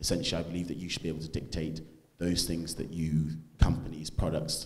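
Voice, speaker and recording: A man speaks very fast in a very deep, low voice. His intonation is monotone and flat, and room echo is audible. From English Midlands, Stoke-on-Trent. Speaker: conservative student activist. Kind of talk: panel talk.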